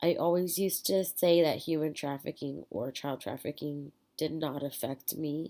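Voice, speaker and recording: In a dark, mellow tone, a woman with an American accent speaks very deep and low at a fairly slow pace, her intonation fairly even. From US Southwest border region. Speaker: student. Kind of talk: class presentation. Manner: halting, many filler words.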